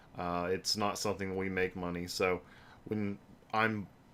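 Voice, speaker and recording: A man with a normal speaking voice, fairly low in pitch, on a very clean recording with a silent background. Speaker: gaming channel host, game and hardware reviewer. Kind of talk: livestream announcement update. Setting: live stream with webcam.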